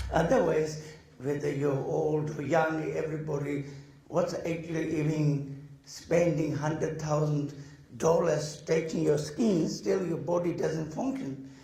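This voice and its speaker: A man with a fairly high pitch talks at a fairly slow pace and ordinary pitch variation. Audible room echo and noticeable background noise surround him. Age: 70s. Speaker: Buddhist teacher. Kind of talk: dharma talk.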